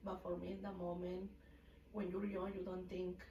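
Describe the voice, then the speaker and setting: A woman with a Mexican accent at medium pitch, with audible room echo. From Mexico City. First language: Spanish. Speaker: hair salon owner. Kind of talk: casual interview. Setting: livestream.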